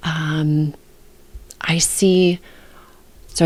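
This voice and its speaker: A soft-spoken woman's fairly low voice. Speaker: book editor. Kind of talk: tutorial.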